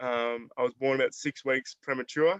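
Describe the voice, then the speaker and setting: The man speaks with an Australian accent at a moderate pace. The sound is dry and close, with no echo. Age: 20s. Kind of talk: presentation to online audience. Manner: halting, many fillers.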